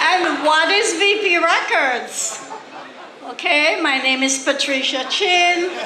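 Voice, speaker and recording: Over crowd noise and audible room echo, a woman with a Jamaican accent uses a raised, projected voice at an extremely high pitch, with ordinary pitch variation, very even loudness and a very slow pace. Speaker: record label co-founder. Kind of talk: award acceptance speech.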